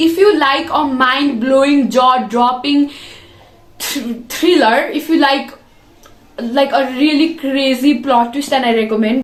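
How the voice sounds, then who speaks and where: With noticeable background noise and audible room echo, a woman speaks in an animated tone at a high pitch, at a fairly slow pace with ordinary pitch variation. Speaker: book reviewer. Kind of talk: casual review video. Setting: bedroom.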